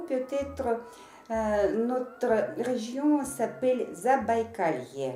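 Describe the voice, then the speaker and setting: Very slow female speech in a room with audible echo. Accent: Russian. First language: Russian (speaking French). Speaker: interpreter. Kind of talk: consecutive interpreting in video message. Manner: halting, many hesitations.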